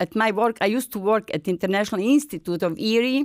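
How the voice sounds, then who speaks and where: Sounding dry and close with no echo in a very clean recording over a silent background, a woman speaks at a fairly high pitch with lively intonation. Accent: Bosnian. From Bosnia. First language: Bosnian. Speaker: folk singer and retired language service coordinator. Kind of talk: interview testimony. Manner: halting non-native English.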